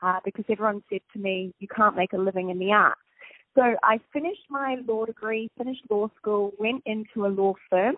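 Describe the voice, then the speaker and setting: A woman with a New Zealand accent, medium pitch, fairly even intonation and a fairly quick pace. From New Zealand, Napier. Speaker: TV host. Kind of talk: interview. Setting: phone call.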